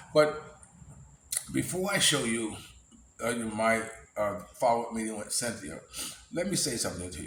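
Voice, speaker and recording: A medium-pitched man with an American accent at a moderate pace, with very wide pitch swings, big swings in loudness, long and frequent pauses, audible room echo and noticeable background noise. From United States. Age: 60s. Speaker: vlogger. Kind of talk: casual vlog monologue. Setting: filmed by camera person. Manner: halting, many fillers.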